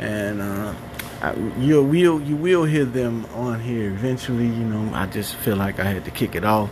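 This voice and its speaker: At a moderate pace and medium pitch, a man speaks with audible room echo and noticeable background noise. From Chicago, West Side. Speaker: podcast host. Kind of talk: solo monologue. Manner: casual, with many fillers.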